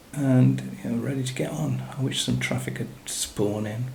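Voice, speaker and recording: A man mumbles with an English accent and very wide pitch swings. Noticeable background noise and audible room echo fill the recording. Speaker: gaming YouTuber. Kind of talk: gameplay commentary. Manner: mumbling; casual.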